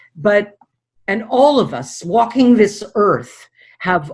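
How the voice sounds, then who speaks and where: Very wide pitch swings at a very slow pace. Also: woman. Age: 60s. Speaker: dream analyst. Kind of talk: interview.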